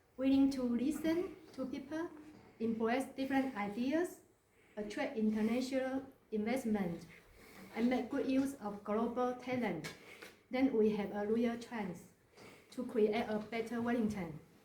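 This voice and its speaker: Speaking at a fairly slow pace, a woman leaves long, frequent pauses. Her high voice shows ordinary pitch variation, and audible room echo can be heard. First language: not English (English is third language). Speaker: mayoral candidate. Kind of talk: campaign speech. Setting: community centre meeting with audience.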